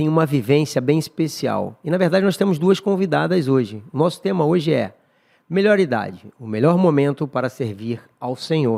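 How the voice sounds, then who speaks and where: Pitched fairly high, a man with a dark, mellow tone speaks at a moderate pace with lively intonation. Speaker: church podcast host. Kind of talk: casual chat.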